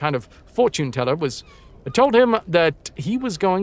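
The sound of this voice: The clip features an unforced reading voice.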